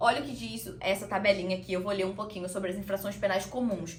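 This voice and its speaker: Noticeable background noise and audible room echo accompany a woman speaking at a medium pitch. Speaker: law teacher. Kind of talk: lecture. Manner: fast.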